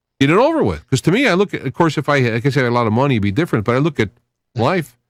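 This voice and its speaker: A man races along at a very fast pace with very wide pitch swings, in a dry, close sound with no echo and a very clean recording with a silent background. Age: 60s. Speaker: podcast guest, video channel creator. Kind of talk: casual conversation, radio podcast discussion.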